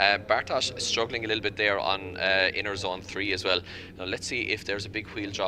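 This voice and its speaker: With a bright, sharp tone and a very deep, low pitch, a man speaks at a fairly quick pace with fairly even intonation. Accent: Irish. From Ireland. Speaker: motorsport commentator. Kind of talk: live commentary.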